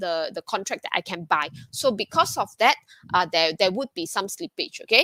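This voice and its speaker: In a dry, close recording with no echo, a woman talks with a bright, sharp tone and very wide pitch swings. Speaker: ETF fund director. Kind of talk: webinar presentation. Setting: online webinar. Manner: fast; hesitant with fillers.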